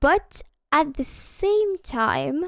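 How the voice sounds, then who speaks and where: In a non-native accent, a woman speaks with lively intonation. The sound is dry and close with no echo, a very clean recording over a silent background. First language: not English. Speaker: video game streamer. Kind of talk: live gameplay stream chat. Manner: casual with many filler hesitations.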